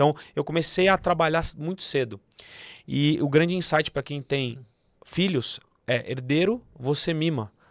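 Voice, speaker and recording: A man with an unremarkable speaking voice, fairly high in pitch, at a fairly slow pace with ordinary pitch variation, in a dry sound with no echo and a quiet background. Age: 30s. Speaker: accounting firm partner and entrepreneur; podcast guest. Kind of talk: podcast interview. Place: studio. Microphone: studio mic.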